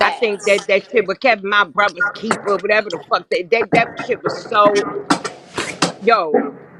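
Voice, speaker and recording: The speech has an animated tone and a fairly slow pace, broken by long, frequent pauses. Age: 60s. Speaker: guest on live stream talk show. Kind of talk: heated casual chat.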